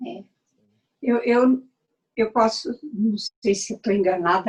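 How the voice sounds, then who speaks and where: A woman's voice, somewhat breathy, moves through ordinary pitch variation. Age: 70s. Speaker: dancer and performer. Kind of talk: casual chat. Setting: video call. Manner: halting.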